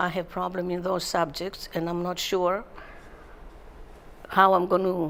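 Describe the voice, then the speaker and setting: A woman in a Greek accent, fairly low in pitch and fairly slow, with monotone, flat intonation and long, frequent pauses. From Greece. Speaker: retirement community resident. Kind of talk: interview. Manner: halting.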